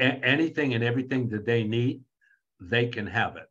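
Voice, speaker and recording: Fairly quick, somewhat breathy speech from a man at a medium pitch. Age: 70s. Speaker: author and AI speaker. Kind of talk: interview. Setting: video call. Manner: animated; halting, repeats words.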